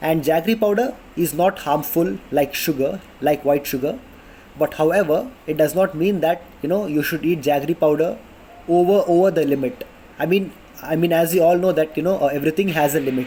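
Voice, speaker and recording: Speaking at a fairly quick pace with a South Indian accent, a man uses a fairly high pitch with ordinary variation. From India, Karnataka. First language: Kannada. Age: 20s. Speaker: vlogger. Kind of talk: casual informational talk to camera. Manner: halting, many fillers.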